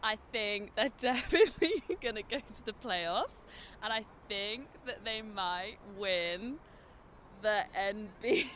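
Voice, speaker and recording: Very slow speech in a London accent with long, frequent pauses. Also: woman. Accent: British, London. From England, London. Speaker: student, fan at game. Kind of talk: street interview.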